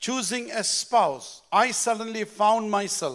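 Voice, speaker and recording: Over a quiet background, a man talks at a very slow pace. His voice is high, with ordinary pitch variation. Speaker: pastor. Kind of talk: sermon. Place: church. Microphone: handheld.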